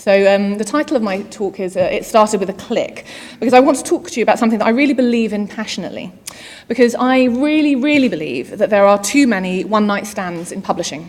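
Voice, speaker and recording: Noticeable background noise sits behind a woman talking at a very fast pace. Her pitch is fairly high and her intonation lively. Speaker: digital marketing executive, conference speaker. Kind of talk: conference keynote. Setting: stage with audience.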